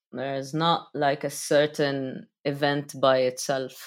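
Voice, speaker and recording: Against a silent background in a very clean recording, a woman with an Arabic accent speaks fairly slowly in a very deep, low pitch. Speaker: rapper, producer and DJ. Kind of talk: interview conversation.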